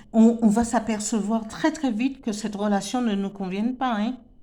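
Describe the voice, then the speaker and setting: The speaker is a woman with a French Antillean accent. Her pitch is fairly high, with ordinary variation. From French Antilles. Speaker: tarot card reader. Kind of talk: spiritual tarot reading. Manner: halting, many repetitions and fillers.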